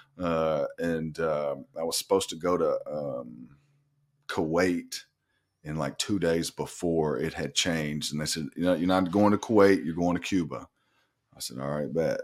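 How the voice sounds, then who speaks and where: On a very clean recording with a silent background, a man speaks with an Arkansas accent. His pitch is very deep and low, and his pace moderate. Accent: Southern US (Arkansas). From Arkansas, North Little Rock. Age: 40s. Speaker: nurse practitioner in recovery. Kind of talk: casual interview.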